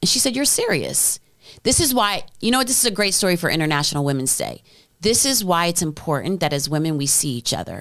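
A woman's very fast speech with very wide pitch swings, on a very clean recording over a silent background. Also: fairly low pitch for a woman. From US, New Jersey then Midwest. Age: 40s. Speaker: venture capital founder, former music executive. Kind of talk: casual interview.

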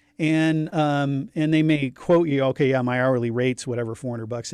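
Over a silent background on a very clean recording, a man with an unremarkable speaking voice talks fairly quickly at a fairly high pitch. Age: 50s. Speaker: divorce attorney. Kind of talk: casual chat.

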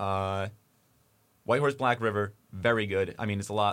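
The speaker has an American accent and fairly even intonation at a moderate pace. The recording is very clean with a silent background. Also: man. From New Jersey. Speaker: college radio host. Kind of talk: casual interview. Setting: radio studio.

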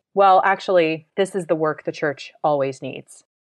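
Using a plain, everyday voice, a woman talks in a fairly low pitch with ordinary pitch variation. Her pace is fairly slow. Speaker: podcast host and editor. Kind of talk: podcast intro and announcements.

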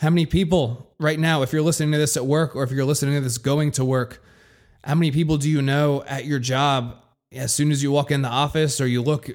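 A man with a fairly high pitch at a fairly quick pace, in a very clean recording with a silent background. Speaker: podcast host and business coach. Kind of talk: motivational pep talk, direct address to listeners. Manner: passionate, forceful, emphatic.

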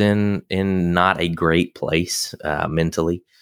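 A man with a Southern US accent and a very deep, low pitch, fairly even intonation, dry, close sound with no echo, and a very clean recording with a silent background. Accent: Southern American. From US South, South Carolina near Augusta. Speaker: veterinarian and animal chiropractor. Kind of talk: interview. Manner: halting, many fillers.

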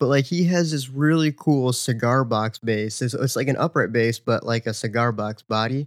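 An unremarkable speaking voice moves at a moderate pace with hardly any pauses and ordinary pitch variation. The sound is dry and close, with no echo. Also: man, medium pitch for a man. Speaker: podcast host and gigging musician. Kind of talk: casual podcast chat. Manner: laid-back, chatty.

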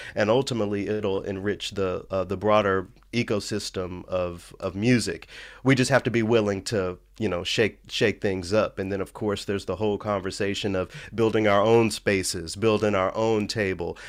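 A man speaks at a moderate pace in a fairly low voice with flat, monotone intonation, recorded very cleanly over a silent background. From Memphis, Tennessee. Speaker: musician, radio presenter and equity activist. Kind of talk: casual interview conversation.

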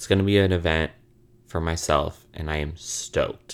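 A man speaks with an American accent in an animated tone. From US Midwest (Illinois). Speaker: podcast host. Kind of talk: true crime storytelling monologue; casual chat.

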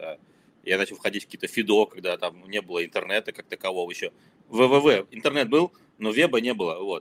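The sound is dry and close, without any echo. A man speaks at a fairly quick pace. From former Soviet Union (Ukraine, Kazakhstan, Moscow). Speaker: marketer and startup founder. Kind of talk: casual interview chat.

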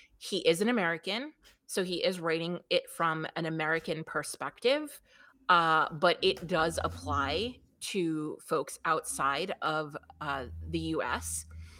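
A woman with a New York accent at a fairly slow pace, on a very clean recording with a silent background. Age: 40s. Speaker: business coach. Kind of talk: interview.

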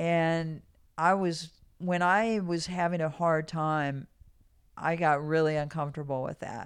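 In an ordinary speaking voice, a woman with a fairly low pitch talks at a fairly slow pace with fairly even intonation over a quiet background. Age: 60s. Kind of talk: casual interview conversation.

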